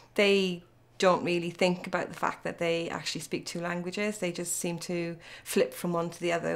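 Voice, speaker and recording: With an Irish accent, a woman talks over noticeable background noise. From Ireland. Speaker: parent. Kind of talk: interview.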